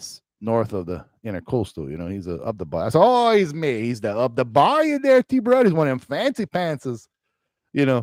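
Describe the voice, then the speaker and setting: A man speaks in a Cajun accent at a moderate pace, his loudness swinging widely. The recording is very clean and dry, close with no echo, over a silent background. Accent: Cajun Louisiana English. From Louisiana Cajun country. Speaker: gaming streamer. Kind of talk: casual live stream chat. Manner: rambling casual with many fillers.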